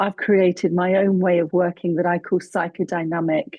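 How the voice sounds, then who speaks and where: A woman speaks in a British accent at a fairly low pitch and a moderate pace. Her tone is calm and her intonation fairly even. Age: 50s. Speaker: psychotherapist. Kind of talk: interview podcast.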